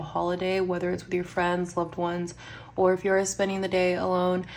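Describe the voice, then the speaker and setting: There's audible room echo as a woman talks at a fairly quick pace. Her medium-pitched voice is monotone, with flat intonation. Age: 30s. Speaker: budgeting vlogger. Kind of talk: casual vlog chat. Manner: counting money aloud, rhythmic.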